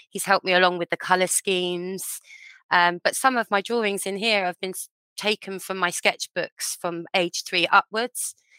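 A woman with an English accent talks at a moderate pace in a medium pitch, her intonation fairly even and her tone bright and sharp. The sound is dry and close with no echo, and the recording is very clean over a silent background. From England. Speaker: children's author. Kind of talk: interview.

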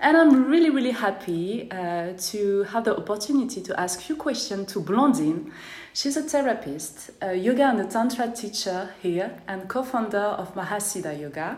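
A woman with a French accent talks at a moderate pace, hardly pausing, with lively intonation. Audible room echo surrounds her voice. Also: medium pitch for a woman. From France. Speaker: podcast host. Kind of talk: interview; casual monologue. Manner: careful articulation.

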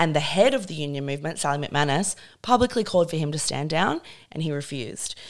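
In a very clean recording with a silent background, a woman with a very deep, low pitch speaks at a very fast pace with lively intonation. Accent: Australian. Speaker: feminist writer and podcast host. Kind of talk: casual chat.

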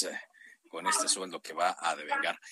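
The sound is dry and close, without echo. A man talks at moderate speed. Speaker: radio host. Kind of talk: news talk radio.

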